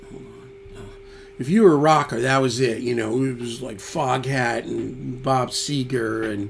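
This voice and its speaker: A man with a New York accent speaks at medium pitch and a fairly slow pace. Noticeable background noise and audible room echo fill the recording. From New York (Yonkers). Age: 60s. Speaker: musician and YouTuber. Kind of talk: casual chat reading viewer comments.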